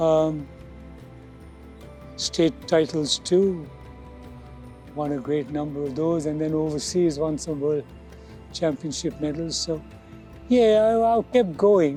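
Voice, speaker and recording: A man speaks at a very slow pace with long, frequent pauses, his pitch fairly high and its variation ordinary. Music plays in the background. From India. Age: 70s. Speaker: teacher and masters athlete. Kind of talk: interview answer.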